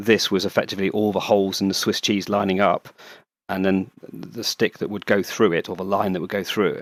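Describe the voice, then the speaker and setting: Recorded very cleanly against a silent background, a man with a British accent talks at a very fast pace in a fairly low, monotone voice with flat intonation. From England. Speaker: paramotor pilot and YouTuber. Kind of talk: casual interview chat.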